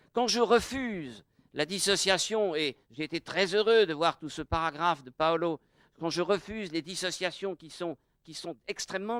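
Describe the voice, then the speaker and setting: On a very clean recording with a silent background and a dry, close sound with no echo, a high-pitched man speaks at a fairly slow pace with ordinary pitch variation. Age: 70s. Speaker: adult education specialist. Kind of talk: public dialogue talk. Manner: formal.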